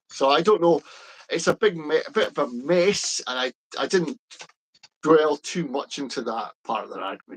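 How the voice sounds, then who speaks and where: Lively intonation marks a man's fairly high voice, broken by long, frequent pauses. The sound is dry and close, with no echo. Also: moderate pace. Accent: Scottish. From Scotland. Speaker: pro-independence political commentator. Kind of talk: casual chat. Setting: live stream. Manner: hesitant, many fillers.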